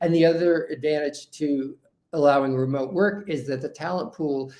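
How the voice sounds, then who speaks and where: Speaking at a fairly slow pace with a New York accent, a man with a fairly high pitch keeps his intonation fairly even. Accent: New York American. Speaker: HR consultant. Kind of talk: webinar presentation. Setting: webinar.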